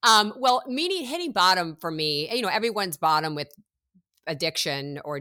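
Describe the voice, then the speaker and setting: Lively in intonation and bright and sharp in tone, a woman's voice comes through dry and close with no echo in a very clean recording against a silent background. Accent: American. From US Midwest. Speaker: personal trainer. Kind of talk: interview. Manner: animated.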